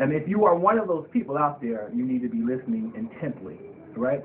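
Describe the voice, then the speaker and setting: A man's voice, high in pitch, with very wide pitch swings. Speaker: financial planning show host. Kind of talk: solo monologue, informal financial talk. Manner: halting, with frequent fillers.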